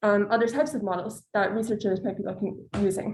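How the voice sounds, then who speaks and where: A woman talks at a fairly quick pace in a fairly high pitch. Her voice is somewhat breathy, with fairly even intonation. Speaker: student presenter. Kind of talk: academic presentation.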